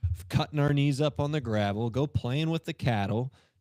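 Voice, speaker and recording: In a very clean recording with a silent background and a dry, close sound free of echo, a man with a Southern US accent speaks in a dark, mellow tone. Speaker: sports show host, athletic trainer. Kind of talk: casual chat. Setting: live broadcast.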